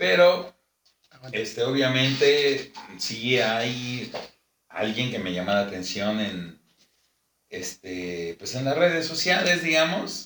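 Speaking very slowly with long, frequent pauses, a man keeps a medium pitch that swings very widely. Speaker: podcast co-host, amateur rapper. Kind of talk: casual chat.

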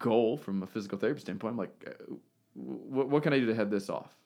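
In a very clean recording with a silent background, a man with a normal speaking voice and medium pitch talks at a fairly quick pace. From US, moved around (Texas, Missouri). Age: 30s. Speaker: physical therapist and business owner. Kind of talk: casual interview.

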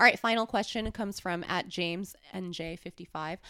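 A medium-pitched woman's voice with vocal fry, ordinary pitch variation and a moderate pace, on a very clean recording with a silent background. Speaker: podcast host and adult film performer. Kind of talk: casual chat. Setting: studio.

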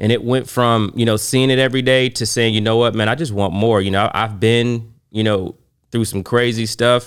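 A plain, everyday voice with an American accent, fairly even intonation and a moderate pace, in a very clean recording with a silent background. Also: man, medium pitch for a man. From Oklahoma City, Oklahoma. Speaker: bourbon collector and entrepreneur. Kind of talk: casual chat.

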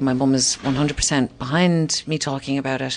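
A woman with a Cork accent speaks at a very deep, low pitch. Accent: Irish (Cork). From Ireland (Cork). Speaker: comedian and author. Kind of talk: casual interview conversation. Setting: hotel hallway. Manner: animated, laughs often.

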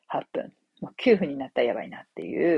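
A woman talks at a fairly quick pace. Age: 40s. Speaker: copywriter and podcast host. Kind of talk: casual solo talk. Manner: many fillers, conversational.

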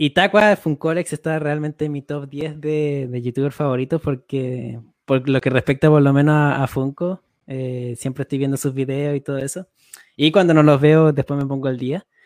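Fairly high in pitch, a man talks at a moderate pace in a plain, everyday voice with fairly even intonation, the sound dry and close with no echo. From Chile. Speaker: podcast co-host. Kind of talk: casual chat.

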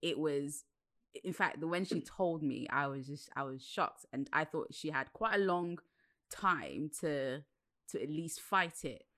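A woman speaks fairly slowly with a very deep, low pitch and a bright, sharp tone. The recording is very clean, with a silent background. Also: ordinary pitch variation. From Nigerian heritage. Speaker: podcast host. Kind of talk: interview. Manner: excitable, laughs often.

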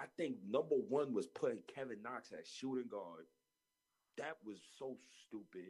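Animated and showing vocal fry, a man with a New York accent talks at a fairly slow pace with very wide pitch swings. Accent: New York (Harlem). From Harlem, New York. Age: 20s. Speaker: podcast host. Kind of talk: casual chat about basketball. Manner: animated, laughs often.

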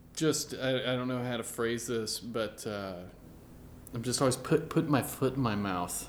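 An unremarkable speaking voice from a man, medium in pitch, with an American accent, ordinary pitch variation and a moderate pace. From US South, Meridian, Mississippi. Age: 30s. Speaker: musician. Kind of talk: casual chat. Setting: studio.

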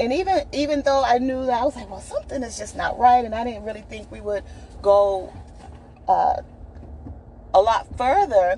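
A woman's high-pitched voice with lively intonation, big swings in loudness, and long, frequent pauses over noticeable background noise. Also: moderate pace. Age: 40s. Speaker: podcaster. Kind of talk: personal monologue. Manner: halting.

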